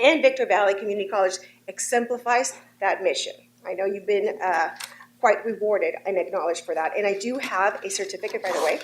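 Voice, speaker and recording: Amid noticeable background noise, a woman speaks at a very fast pace with ordinary pitch variation. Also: medium pitch for a woman. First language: not English. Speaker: state legislator. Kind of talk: formal address to a board. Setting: board of trustees meeting. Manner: formal.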